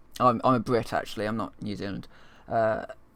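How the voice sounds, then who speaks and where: A man talks at a very fast pace with a medium pitch. The recording is very clean, with a silent background. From London, England. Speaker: gaming streamer. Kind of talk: casual live-stream commentary. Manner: halting, many fillers.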